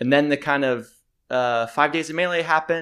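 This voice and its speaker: Over a very clean recording with a silent background, a man with an unremarkable speaking voice talks at a fairly quick pace with ordinary pitch variation. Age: 20s. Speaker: content creator and music producer. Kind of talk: casual interview chat.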